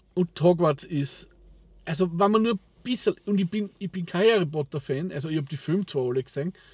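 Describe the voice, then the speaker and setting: With an Austrian accent, a man speaks at a fairly quick pace and fairly high pitch with ordinary pitch variation, the sound dry with no echo and the background quiet. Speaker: vlogger. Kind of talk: casual talk to camera. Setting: in a car. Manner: rambling, hesitant. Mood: relaxed, enthusiastic about games. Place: car. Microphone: lapel.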